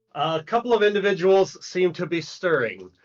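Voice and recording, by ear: Ordinary pitch variation, reading aloud in a natural voice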